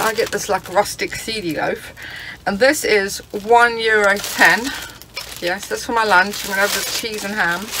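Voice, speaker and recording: The woman talks at a fairly slow pace. Behind her is noticeable background noise. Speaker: travel vlogger. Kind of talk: casual vlog chat. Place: car. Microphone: phone near.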